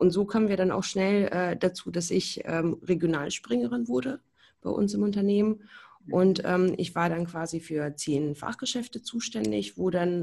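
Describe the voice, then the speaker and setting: A woman's fairly low, dark, mellow voice with very wide pitch swings at a moderate pace, over a quiet background. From Berlin, Germany. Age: 20s. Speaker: hearing aid acoustician. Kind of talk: podcast interview.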